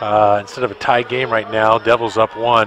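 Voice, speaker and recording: A man's voice amid noticeable background noise. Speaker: radio color analyst, former player. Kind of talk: live radio sports commentary, analyst breakdown of plays. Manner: conversational, opinionated, with fillers.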